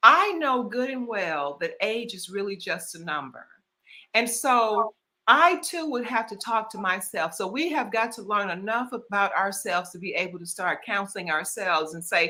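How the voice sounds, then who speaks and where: The voice is bright and sharp, with a Southern US accent and very wide pitch swings. The pace is moderate. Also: woman. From US South. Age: 60s. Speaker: author and lifestyle strategist. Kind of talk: casual interview.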